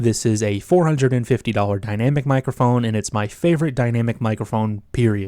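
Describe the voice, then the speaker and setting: In a very clean recording with a silent background, a man talks at a very fast pace with hardly any pauses, his tone dark and mellow, his pitch medium, with ordinary pitch variation. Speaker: tech YouTuber. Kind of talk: tutorial. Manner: casual. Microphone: switching between several studio microphones.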